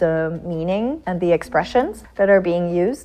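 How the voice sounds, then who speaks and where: Moderate pace and a fairly low pitch from a woman, over noticeable background noise. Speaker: panel participant. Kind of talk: casual panel discussion.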